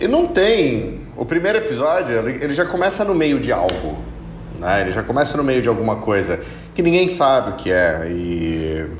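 Audible room echo and noticeable background noise surround this man's voice. His pitch is fairly high and swings very widely at a moderate pace. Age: 30s. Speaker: podcast guest, fan expert. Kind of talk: casual chat.

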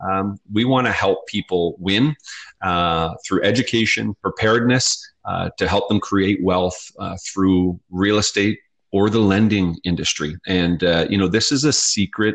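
A man with a normal speaking voice and a Canadian accent, pitched fairly low. His pitch varies in an ordinary way, and the sound is dry and close with no echo. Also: fairly slow pace. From Southern Ontario, Canada. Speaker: podcast host. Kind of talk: casual chat. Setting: remote recording, speakers apart.

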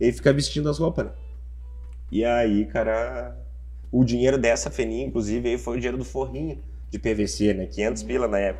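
A man with a very deep, low voice talks at a fairly quick pace, with lively intonation and long, frequent pauses. Music plays in the background, and room echo is audible. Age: 20s. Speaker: pizzeria founder. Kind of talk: casual interview.

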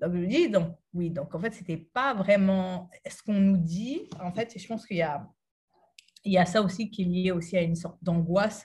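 Somewhat breathy and medium in pitch, a woman's voice shows big swings in loudness. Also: ordinary pitch variation, moderate pace. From France, Cergy (Île-de-France), Haitian-born. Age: 30s. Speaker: activist and author. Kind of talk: interview.

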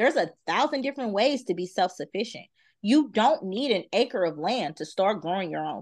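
The speaker moves at a moderate pace while the pitch swings very widely. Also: woman. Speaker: gardening content creator. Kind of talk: casual chat.

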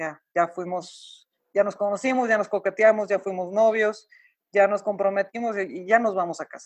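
A woman with an ordinary speaking voice talks at a medium pitch and a moderate pace, her intonation fairly even, her loudness swinging widely over a quiet background. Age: 40s. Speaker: coffee business owner. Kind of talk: interview. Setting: remote call.

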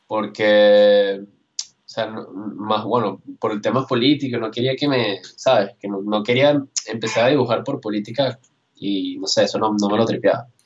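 A man with a Caracas accent, fairly even intonation and a fairly slow pace. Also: medium pitch for a man. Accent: Venezuelan Caracas Spanish. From Venezuela, Caracas. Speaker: illustrator and animator. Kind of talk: interview. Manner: halting, many repetitions.

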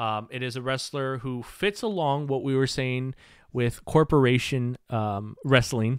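This is an ordinary speaking voice: a man with an American accent at medium pitch, using ordinary pitch variation. The recording is very clean, with a silent background. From US South. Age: 30s. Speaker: podcast host. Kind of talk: casual chat.

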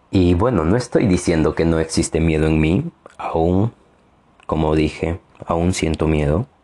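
A man speaks at a fairly slow pace with a very deep, low pitch. His loudness stays very even, with ordinary pitch variation. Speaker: podcaster. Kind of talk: personal monologue. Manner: halting, many fillers.

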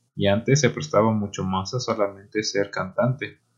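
There is a somewhat breathy quality to this man's voice. He speaks fairly slowly. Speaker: podcast co-host. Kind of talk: casual chat.

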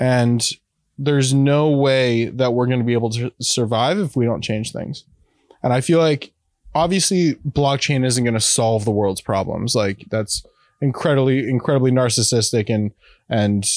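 A man talks at a moderate pace in a plain, everyday voice, medium in pitch with ordinary pitch variation. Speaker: head of content at an NFT platform. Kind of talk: casual chat.

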